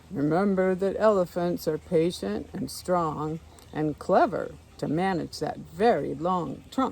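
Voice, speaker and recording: A booming, put-on character voice from a woman, fairly low-pitched and fairly slow, with clear background noise. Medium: read story. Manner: measured, authoritative.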